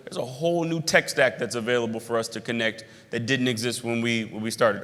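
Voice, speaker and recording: A man's very fast speech in a bright, sharp tone. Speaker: club co-founder and executive. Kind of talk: keynote address to members.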